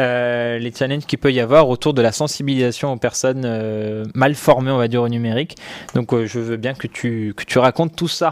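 With fairly even intonation and a moderate pace, this man is heard through noticeable background noise. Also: medium pitch for a man. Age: 20s. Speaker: tech journalist hosting a livestream. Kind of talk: casual live stream chat with viewers. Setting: live stream studio setup. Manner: hesitant, many fillers and repetitions.

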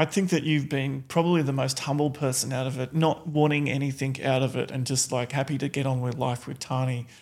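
A man with an Australian accent talks at a fairly quick pace with hardly any pauses. His fairly high voice stays monotone and flat. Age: 40s. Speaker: reality TV contestant. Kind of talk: casual chat.

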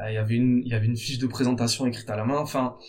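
This man's voice sits at a medium pitch. There is a somewhat breathy quality to it. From France, Bordeaux. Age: 30s. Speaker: entrepreneur, founder of a jersey business. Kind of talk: interview. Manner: halting, with frequent repetitions.

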